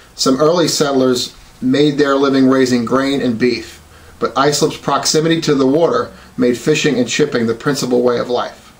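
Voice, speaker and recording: Over noticeable background noise, a man with an American accent speaks at a moderate pace in a fairly high pitch with fairly even intonation. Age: 40s. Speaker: police officer and college student. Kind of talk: class speech. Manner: formal.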